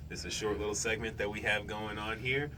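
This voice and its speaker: Audible room echo follows a man as he speaks in a fairly low pitch. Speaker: youth radio host. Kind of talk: casual chat.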